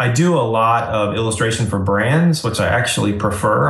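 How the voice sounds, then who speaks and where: A man with a plain, everyday voice, medium pitch and moderate pace. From Asheville, North Carolina (moved from Florida at 11). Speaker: independent designer and illustrator. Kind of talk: casual interview.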